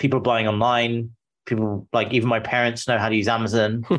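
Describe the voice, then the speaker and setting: Speaking with a British accent, a man holds a medium pitch in a flat, monotone delivery. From England. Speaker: founder of a business brokerage firm. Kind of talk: interview. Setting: video call.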